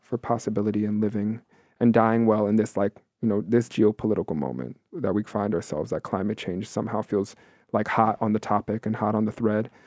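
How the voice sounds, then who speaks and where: With a plain, everyday voice, a man talks at a fairly quick pace in a fairly low pitch, the sound dry and close with no echo. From New York City, Queens. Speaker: performance artist and educator. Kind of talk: casual interview.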